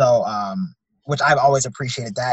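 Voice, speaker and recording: A somewhat breathy man at medium pitch, with ordinary pitch variation and a fairly quick pace. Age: 30s. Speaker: entrepreneur and media owner. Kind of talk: interview. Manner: halting, many fillers.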